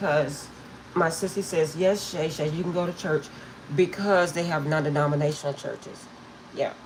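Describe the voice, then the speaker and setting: With long, frequent pauses and fairly even intonation, a woman speaks at a very deep, low pitch against noticeable background noise. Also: moderate pace. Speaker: tarot reader. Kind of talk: live stream chat. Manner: casual, chatty.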